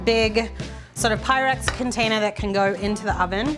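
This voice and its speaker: Clear music plays in the background. Over it, a woman talks with ordinary pitch variation. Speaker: cooking host. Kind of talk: cooking tutorial. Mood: cheerful, upbeat. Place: kitchen.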